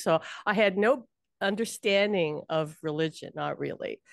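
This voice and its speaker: A woman's medium-pitched voice, dry and close with no echo, over a quiet background. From Hawaii, Honolulu. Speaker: psychic medium. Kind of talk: interview.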